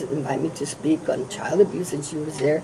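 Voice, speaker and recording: A woman's fairly low voice at a fairly quick pace, with noticeable background noise. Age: 70s. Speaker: politician. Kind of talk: candidate forum interview.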